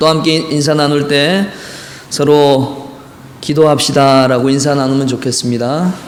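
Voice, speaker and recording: Amid noticeable background noise and audible room echo, a man speaks fairly slowly at a fairly high pitch. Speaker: pastor. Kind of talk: sermon. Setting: church.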